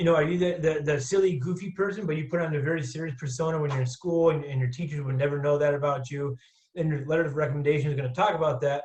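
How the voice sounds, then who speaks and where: At a very fast pace, a man speaks with a somewhat breathy, fairly high-pitched voice and fairly even intonation. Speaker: college admissions counselor. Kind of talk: webinar presentation.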